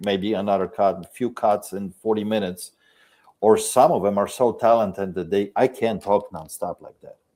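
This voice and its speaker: A man with a strong non-native accent speaks at a moderate pace in a fairly low pitch. His tone is dark and mellow, his intonation fairly even, and his loudness swings widely. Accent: foreign accent, strong. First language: Polish. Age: 50s. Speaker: video creator and shop owner. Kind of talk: podcast interview.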